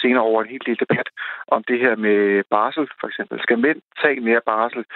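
A man with an unremarkable speaking voice, medium in pitch, at a fairly quick pace and with fairly even intonation. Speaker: commentator on men's issues. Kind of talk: radio interview. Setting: phone call.

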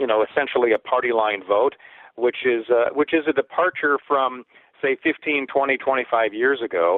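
At a moderate pace, a man of medium pitch speaks in an unremarkable speaking voice. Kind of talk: radio interview on politics. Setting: remote line into radio show.

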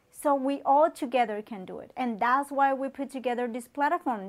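A woman with a Colombian accent speaks at a high pitch with ordinary pitch variation. The recording is very clean, with a silent background. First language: Spanish. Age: 30s. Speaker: online talk show host. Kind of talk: motivational talk.

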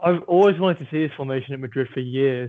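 Intonation here is fairly even. The accent is English. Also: man. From England. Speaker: football podcast co-host. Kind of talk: casual chat. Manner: low-energy.

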